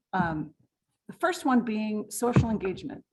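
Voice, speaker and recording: A woman's fairly high, somewhat breathy voice makes very wide pitch swings. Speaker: downsizing consultant. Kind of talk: presentation. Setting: stage with audience. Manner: soft-spoken.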